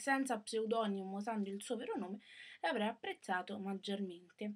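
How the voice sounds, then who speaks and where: Her pitch sits fairly high for a woman, and its variation is ordinary. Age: young. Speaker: book vlogger. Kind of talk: casual book review. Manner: hesitant, many fillers. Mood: critical, disappointed. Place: home room. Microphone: webcam.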